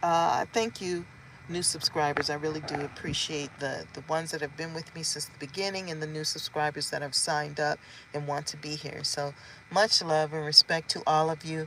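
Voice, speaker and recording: Over noticeable background noise, a woman with a very deep, low pitch speaks at a moderate pace, her intonation fairly even but with big swings in loudness. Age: 50s. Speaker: vlogger. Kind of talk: casual vlog update.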